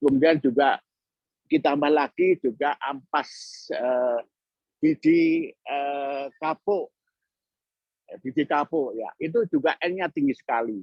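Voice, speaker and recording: The speech moves at a very slow pace with ordinary pitch variation and long, frequent pauses. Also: man, fairly high pitch for a man. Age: 70s. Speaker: mushroom entrepreneur. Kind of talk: guest lecture. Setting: online lecture. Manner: halting, with many fillers.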